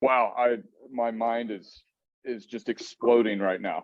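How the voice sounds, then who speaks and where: The speaker is a man with a Texan accent. His pitch is fairly low. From Texas. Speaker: webinar host. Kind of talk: webinar moderation.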